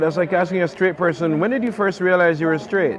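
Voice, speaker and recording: A man's voice over noticeable background noise. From Jamaica. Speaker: novelist. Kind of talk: interview answer.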